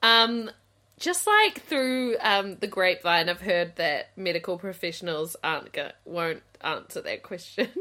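A woman in a New Zealand accent, fairly slow pace, very clean recording with a silent background. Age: 30s. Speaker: podcast co-host. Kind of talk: casual chat.

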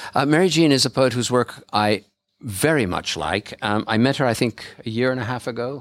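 Here is a plain, everyday voice with ordinary pitch variation. The recording is very clean, with a silent background. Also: man. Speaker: bookshop event host and poetry publisher. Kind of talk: live event introduction and commentary. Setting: stage with audience at a bookshop launch.

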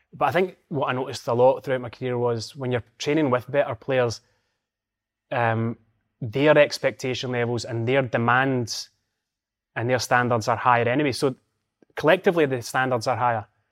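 On a very clean recording with a silent background, a man with a Scottish accent and a medium-pitched voice talks at a fairly quick pace with fairly even intonation and long, frequent pauses. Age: 40s. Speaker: former footballer and football pundit. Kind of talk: casual chat.

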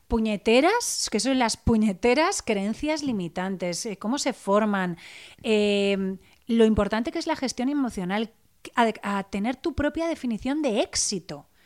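On a very clean recording with a silent background, a woman uses an unremarkable speaking voice at a fairly high pitch, fairly slow pace, and lively intonation. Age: 40s. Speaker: blogger, author and coach. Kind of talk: interview.

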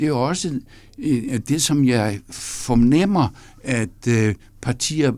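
Recorded very cleanly against a silent background, a man talks at medium pitch in a dark, mellow tone with ordinary pitch variation. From North Jutland, Denmark. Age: 70s. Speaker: professor. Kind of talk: interview. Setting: studio. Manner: halting with fillers.

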